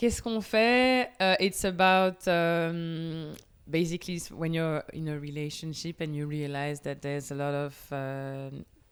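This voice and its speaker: With a French accent, a woman speaks at a moderate pace in a fairly low pitch, with hardly any pauses. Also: ordinary pitch variation. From Belgium, Namur. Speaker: singer-songwriter. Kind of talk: casual interview. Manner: halting.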